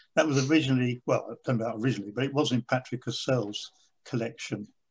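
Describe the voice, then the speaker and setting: Somewhat breathy, a man talks at a fairly quick pace and medium pitch with ordinary pitch variation, the background quiet. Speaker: stamp collector. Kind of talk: lecture. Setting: video call. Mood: pleased, enthusiastic. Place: home room. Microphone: video call.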